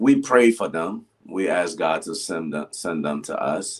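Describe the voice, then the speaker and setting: Very wide pitch swings from a male speaker. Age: 60s. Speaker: pastor. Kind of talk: casual interview chat.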